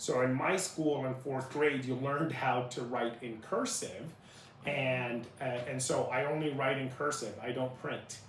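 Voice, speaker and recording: Speaking at a fairly slow pace, a man with an American accent has a medium pitch. Room echo is audible, and background noise is noticeable. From Salt Lake City, Utah, US (born Iraq, childhood in Jordan). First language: Arabic. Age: 30s. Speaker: interviewee, former refugee. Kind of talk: interview.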